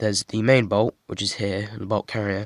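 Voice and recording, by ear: A man talks at a moderate pace in a fairly low voice with little pitch movement. The sound is dry and close, with no echo.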